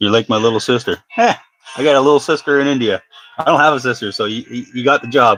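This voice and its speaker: With an Ontario accent, the speech comes at a very fast pace with ordinary pitch variation, the sound dry and close with no echo. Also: man, medium pitch for a man. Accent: Canadian (Ontario). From Northern Ontario, Canada (near North Bay). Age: 40s. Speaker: fishing livestreamer making lures. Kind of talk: casual livestream chat with viewers.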